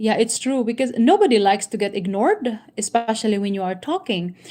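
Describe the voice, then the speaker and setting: Captured on a very clean recording with a silent background, the speaker has a Filipino accent and ordinary pitch variation. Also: woman. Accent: Filipino accent, non-native. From Philippines. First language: Tagalog. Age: 50s. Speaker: YouTuber, inspirational talk host. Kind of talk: reading aloud with commentary, live stream. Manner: halting, many fillers.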